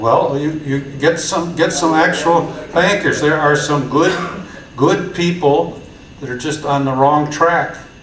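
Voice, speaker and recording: Amid audible room echo and noticeable background noise, a man talks at a fairly slow pace and a fairly high pitch. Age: 70s. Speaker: community organizer. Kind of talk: conference talk. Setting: stage with audience. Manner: halting, many repetitions; animated.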